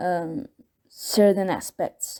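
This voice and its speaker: A woman speaks with a non-native accent. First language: not English. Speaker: video contributor sharing personal experience. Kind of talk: personal testimony. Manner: halting, many fillers and repeats.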